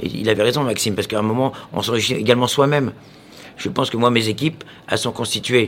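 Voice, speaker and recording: A man at a very fast pace with ordinary pitch variation, over noticeable background noise. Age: 40s. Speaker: chef. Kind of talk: casual chat.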